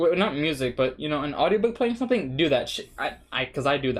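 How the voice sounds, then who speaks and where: A man with a Spanish accent, fairly high in pitch, with ordinary pitch variation, on a very clean recording with a silent background. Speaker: language learning vlogger. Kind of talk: casual vlog monologue. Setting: sitting at home in front of webcam. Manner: casual, hesitant with fillers and restarts. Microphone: cheap webcam.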